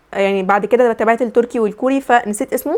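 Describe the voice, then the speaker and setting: Here is a woman with an Egyptian accent. She talks at a very fast pace in a fairly high pitch. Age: young. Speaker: university student. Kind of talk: casual vlog talk to camera.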